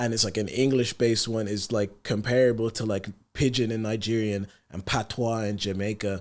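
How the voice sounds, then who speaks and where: Recorded very cleanly against a silent background, a man with a medium pitch speaks at a fairly quick pace in a monotone, flat intonation. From Ireland, partly Sierra Leone. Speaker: rapper. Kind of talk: podcast interview. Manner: soft-spoken.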